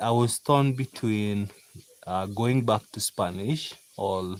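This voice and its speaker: Speaking with a Kenyan accent, a man has a fairly low pitch and ordinary pitch variation. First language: Kikuyu. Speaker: farmer. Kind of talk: casual live-stream chat. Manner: relaxed, chatty with fillers.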